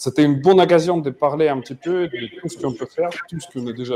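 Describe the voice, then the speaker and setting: Noticeable background noise accompanies a man speaking at a moderate pace with a dry, close sound and no echo. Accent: non-native. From Ukraine, Mariupol. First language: Ukrainian or Russian (speaking French). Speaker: cloud technology expert, conference speaker. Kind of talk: conference keynote talk. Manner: halting, with frequent hesitations.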